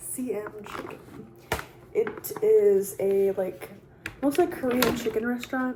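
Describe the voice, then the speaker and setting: Soft-spoken and very slow, a woman talks in a high pitch with very wide pitch swings and long, frequent pauses, over noticeable background noise. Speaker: YouTuber. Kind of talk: casual mukbang talk to camera.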